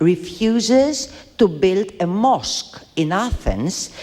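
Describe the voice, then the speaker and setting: A woman with a non-native accent and very wide pitch swings, music in the background. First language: not English. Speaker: debate panelist. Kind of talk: heated debate. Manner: halting.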